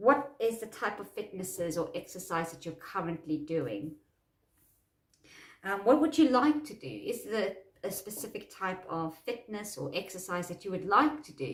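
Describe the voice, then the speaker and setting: A woman's voice at a moderate pace, with big swings in loudness and very wide pitch swings. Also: medium pitch for a woman. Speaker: self-help coach. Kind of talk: tutorial. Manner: halting.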